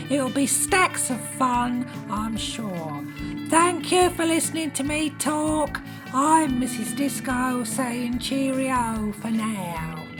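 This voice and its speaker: Over loud music in the background, a man uses a put-on character voice with an extremely high pitch at a very slow pace. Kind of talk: comedy radio announcement. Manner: cheerful, prim.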